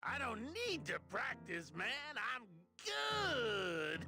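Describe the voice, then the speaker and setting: A put-on character voice at a middle pitch and very slow pace, with faint music in the background. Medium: machinima. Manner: enthusiastic, boyish.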